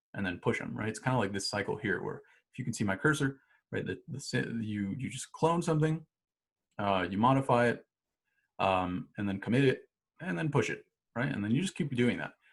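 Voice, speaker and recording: Somewhat breathy, a man talks at a fairly quick pace with lively intonation and long, frequent pauses. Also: medium pitch for a man. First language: not English. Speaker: instructor. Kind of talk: tutorial. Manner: casual, many fillers and restarts.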